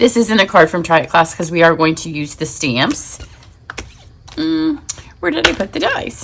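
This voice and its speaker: Noticeable background noise sits behind a woman speaking. Her fairly low pitch moves in very wide swings. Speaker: paper crafting demonstrator. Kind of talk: tutorial. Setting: home craft studio. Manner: fast; casual, chatty.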